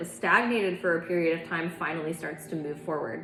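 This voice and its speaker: A woman at a fairly low pitch with fairly even intonation and a fairly quick pace, with audible room echo and noticeable background noise. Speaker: tarot reader. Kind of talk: tarot reading.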